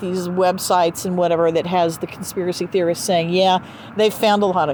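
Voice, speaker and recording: A woman speaks with an American accent at a fairly quick pace. Noticeable background noise runs behind her. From US South. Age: 60s. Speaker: podcast host. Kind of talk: casual chat. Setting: outdoors.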